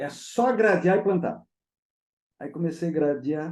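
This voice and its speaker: A man's dark, mellow tone shows vocal fry and lively intonation. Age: 60s. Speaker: agronomist and management consultant. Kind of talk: interview. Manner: animated.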